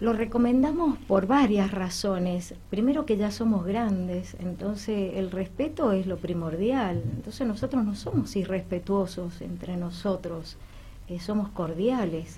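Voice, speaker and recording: This woman has a plain, everyday voice at a medium pitch. She talks at a fairly slow pace with ordinary pitch variation. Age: 60s. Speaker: amateur newcom player. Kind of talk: radio interview.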